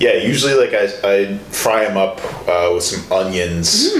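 A man with an American accent at a very slow pace, with noticeable background noise. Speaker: podcast host. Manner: casual, conversational.

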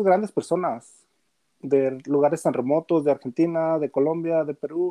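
In a dry, close sound with no echo, a man speaks at a fairly slow pace with a fairly high pitch and a dark, mellow tone. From Mexico, Gómez Palacio, Durango. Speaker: football fan and gaming page administrator. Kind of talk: casual sports chat.

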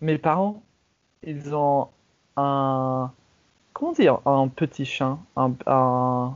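A man with fairly high pitch talks at a very slow pace with fairly even intonation and long, frequent pauses. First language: English (speaking French). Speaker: podcast host. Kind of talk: casual chat. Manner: halting.

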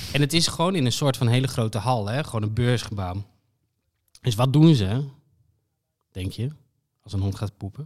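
A man at a medium pitch and moderate pace, ordinary pitch variation, long, frequent pauses, on a very clean recording with a silent background. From Friesland, Netherlands. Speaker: podcast co-host. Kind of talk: casual chat.

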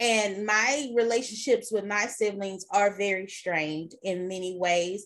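Woman with an ordinary speaking voice and medium pitch, at a fairly slow pace with hardly any pauses and ordinary pitch variation, over a quiet background. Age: 30s. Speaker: podcast host, librarian. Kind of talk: casual chat.

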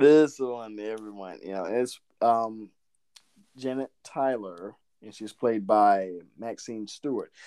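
Very slow and full of long, frequent pauses, the voice carries an American accent, a playful tone, a dark, mellow quality, ordinary pitch variation and big swings in loudness. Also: man, medium pitch for a man. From southern Georgia, US. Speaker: podcast co-host. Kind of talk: casual conversational podcast chat. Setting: video call, remote recording. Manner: laughs often, playful.

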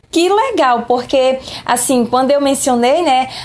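Audible room echo colors the recording. The speaker is a woman. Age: 30s. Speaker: schoolteacher. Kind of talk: lecture.

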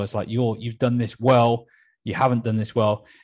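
At a moderate pace, a man talks in a medium pitch with a normal speaking voice. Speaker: podcast host. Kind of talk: interview conversation.

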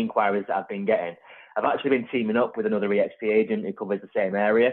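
Here a man is speaking. His intonation is lively. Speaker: podcast host. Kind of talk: casual chat.

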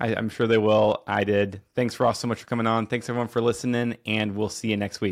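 Speaking at a fairly quick pace with hardly any pauses, a man uses a medium pitch and monotone, flat intonation, recorded very cleanly against a silent background. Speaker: podcast host. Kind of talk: casual interview conversation. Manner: conversational, filler words.

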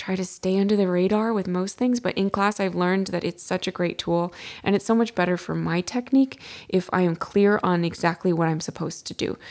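Recorded very cleanly against a silent background, a woman talks at a fairly quick pace and medium pitch with ordinary pitch variation, in a plain, everyday voice. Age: 30s. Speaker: podcast host, adult ballet dancer. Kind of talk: solo podcast monologue with tips.

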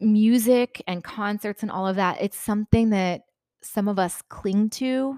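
Recorded very clean against a silent background with a dry, close sound and no echo, a woman speaks very slowly with fairly even intonation. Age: 30s. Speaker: podcast host. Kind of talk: personal storytelling monologue. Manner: hesitant, many fillers.

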